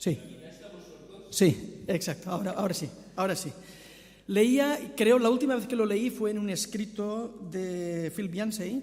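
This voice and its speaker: A man with a strong Catalan accent speaks at a fairly slow pace in a high voice, with ordinary pitch variation, long and frequent pauses, and audible room echo. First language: Catalan (speaking Spanish). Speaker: visiting preacher. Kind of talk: sermon. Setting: church.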